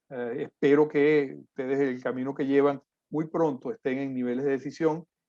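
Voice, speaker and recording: This man's voice has a dark, mellow tone and fairly high pitch, with fairly even intonation. The sound is dry and close, with no echo. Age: 50s. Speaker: civil engineer, conference speaker. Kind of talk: lecture. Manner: frequent fillers and hesitations.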